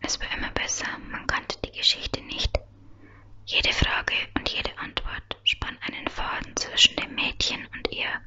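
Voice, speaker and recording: Soft-spoken whispering at a moderate pace over light background noise. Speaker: reader. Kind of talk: soft audiobook-style reading of German fiction. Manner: soft close-mic ASMR whisper, reading. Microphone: studio mic.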